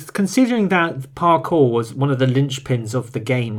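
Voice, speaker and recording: Mumbling at a moderate pace, a man speaks at a medium pitch with lively intonation. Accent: British. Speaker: film podcast co-host. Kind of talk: casual chat. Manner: mumbled diction.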